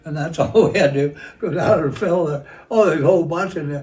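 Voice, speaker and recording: A man with an American accent speaks at a fairly high pitch with ordinary pitch variation. Audible room echo can be heard. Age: 90s. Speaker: war veteran. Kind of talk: interview. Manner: halting.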